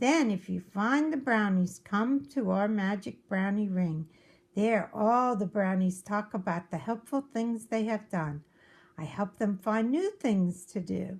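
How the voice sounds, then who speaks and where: Using a put-on character voice, a woman speaks at a fairly slow pace. The recording is very clean, with a silent background. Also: medium pitch for a woman. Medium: read story. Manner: calm, knowing.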